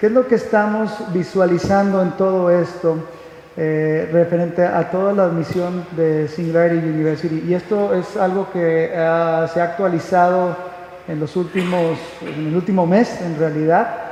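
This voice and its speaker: Speaking at a fairly slow pace with a Mexican accent, a man uses a high voice with fairly even intonation. Audible room echo and noticeable background noise are present. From Mexico. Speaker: conference speaker. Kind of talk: lecture. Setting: stage with audience. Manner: halting, many fillers.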